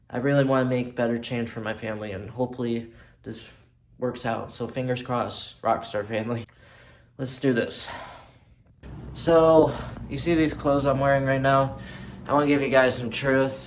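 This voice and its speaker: Heard with audible room echo, a man with an American accent speaks at a medium pitch and a moderate pace, his intonation fairly even. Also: long, frequent pauses. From US Midwest, Michigan. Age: 20s. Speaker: vlogger. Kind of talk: casual vlog talk.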